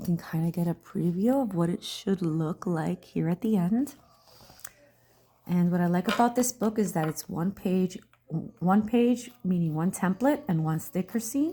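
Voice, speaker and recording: Soft-spoken and somewhat breathy, a woman speaks at medium pitch and a moderate pace, her dark, mellow tone carried by lively intonation. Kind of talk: soft-spoken ASMR crafting talk.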